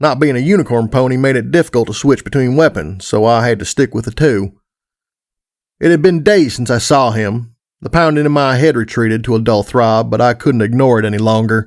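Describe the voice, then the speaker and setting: Over a silent background in a very clean recording, a man with a normal speaking voice talks at a fairly quick pace, medium in pitch with ordinary pitch variation. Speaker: audiobook narrator. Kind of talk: audiobook fan fiction narration.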